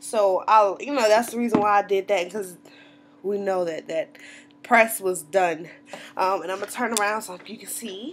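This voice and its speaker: With light background noise behind her, a woman speaks in an American accent at a moderate pace, with ordinary pitch variation and big swings in loudness. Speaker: natural hair vlogger. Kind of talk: casual talk to camera. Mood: cheerful, chatty. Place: home room. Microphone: webcam.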